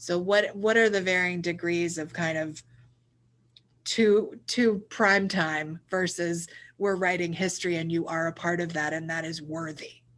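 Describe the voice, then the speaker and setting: A woman with a plain, everyday voice speaks fairly slowly at a fairly low pitch, her intonation fairly even. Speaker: interview host. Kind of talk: interview question.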